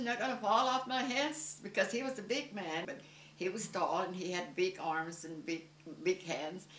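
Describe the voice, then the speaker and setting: A woman speaks at a moderate pace with lively intonation. Noticeable background noise and audible room echo fill the recording. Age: 80s+. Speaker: adoptive mother, former beauty salon owner. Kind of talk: interview testimony.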